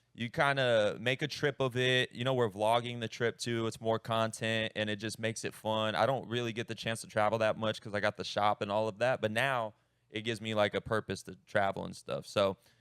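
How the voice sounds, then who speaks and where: A man talks at a fairly quick pace with hardly any pauses, his medium pitch kept to fairly even intonation. The sound is dry and close with no echo, a very clean recording over a silent background. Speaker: tattoo artist and podcast host. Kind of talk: casual chat. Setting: on-location podcast interview. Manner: talkative.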